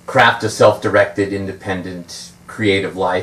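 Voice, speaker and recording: A fairly slow delivery with an American accent over noticeable background noise. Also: man. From US West Coast, San Fernando Valley, California. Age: 60s. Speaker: magician and author. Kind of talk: book talk with anecdotes. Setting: bookstore event with audience. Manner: hesitant, many fillers (uh, um).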